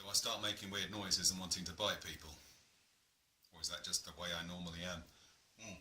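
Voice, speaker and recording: A man with an English accent speaks very fast in a very deep, low voice with a bright, sharp tone, flat monotone intonation, big swings in loudness and long, frequent pauses. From England. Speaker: gaming YouTuber. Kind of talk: casual taste-test vlog. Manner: hesitant, many fillers.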